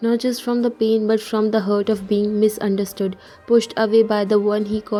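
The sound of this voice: An unforced reading voice carries the whole clip.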